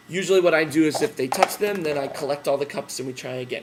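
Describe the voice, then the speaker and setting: A man speaks at a very fast pace, his pitch fairly high. Noticeable background noise runs under the voice. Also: big swings in loudness. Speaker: teacher trainer. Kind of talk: tutorial. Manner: loud; casual with fillers.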